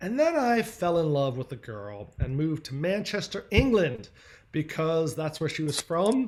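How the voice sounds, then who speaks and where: This man has an American accent. His pitch is high for a man. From Philadelphia, US. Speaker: agency founder and speaker. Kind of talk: presentation talk. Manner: fast.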